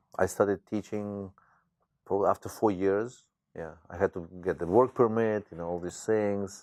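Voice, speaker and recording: A man's fairly low voice with a strong Ukrainian accent, fairly even intonation, and a dry, close sound with no echo. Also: moderate pace, big swings in loudness. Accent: thick Ukrainian. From Ukraine, Khmelnytsky. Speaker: teacher. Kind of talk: interview.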